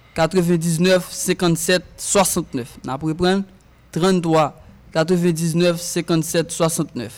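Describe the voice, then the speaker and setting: A man with a Haitian accent speaks very slowly at a high pitch. His loudness stays very even and his intonation fairly even. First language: Haitian Creole (speaking French). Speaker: musician. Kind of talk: casual chat.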